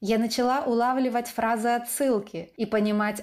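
A woman with an ordinary speaking voice, at a moderate pace, with fairly even intonation. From eastern Ukraine. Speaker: podcast host. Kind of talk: scripted narration.

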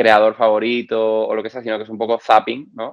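The man speaks at a medium pitch. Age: 30s. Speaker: video creator and musician. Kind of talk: casual interview. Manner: hesitant, many fillers.

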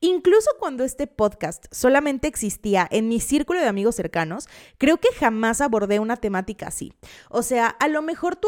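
Speaking in an animated tone with a slight Veracruz accent, a woman uses very wide pitch swings at a fairly high pitch and moderate pace, with a dry, close sound with no echo in a very clean recording with a silent background. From Veracruz, Mexico. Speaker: podcast host. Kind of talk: casual true-crime storytelling.

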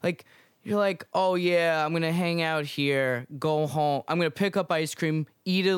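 A man with a fairly high pitch at a moderate pace. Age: 20s. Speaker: podcast co-host. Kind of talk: casual chat. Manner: halting.

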